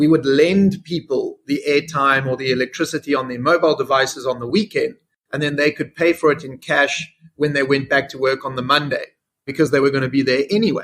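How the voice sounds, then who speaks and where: The man speaks with a South African accent in a fairly high voice. His pace is fairly quick and his intonation fairly even. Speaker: fintech CEO. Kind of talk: interview.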